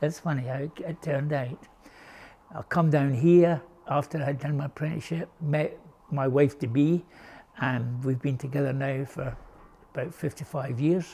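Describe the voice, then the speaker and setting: Somewhat breathy and dark, mellow in tone, the voice moves at a moderate pace with fairly even intonation and long, frequent pauses. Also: man. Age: 70s. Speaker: boatbuilding and woodworking instructor. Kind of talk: interview monologue.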